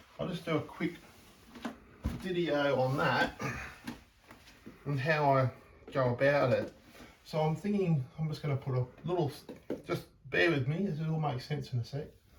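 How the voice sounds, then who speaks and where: Noticeable background noise sits under a man whose pitch is fairly high, moving at a moderate pace with ordinary pitch variation. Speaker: painter. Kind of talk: tutorial. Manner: calm; halting.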